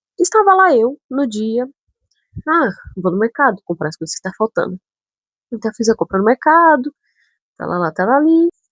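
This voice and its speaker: A woman with a northern Brazilian accent speaks at a moderate pace in a high voice with very wide pitch swings and long, frequent pauses, the sound dry and close with no echo. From Brazil, São Paulo city. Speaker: vlogger. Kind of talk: casual storytelling vlog.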